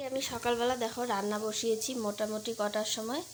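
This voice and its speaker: The speaker uses fairly even intonation over noticeable background noise. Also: woman. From West Bengal, Alipurduar district. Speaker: lifestyle vlogger. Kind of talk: casual vlog narration. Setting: at home, outdoors in courtyard. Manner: occasional stutter.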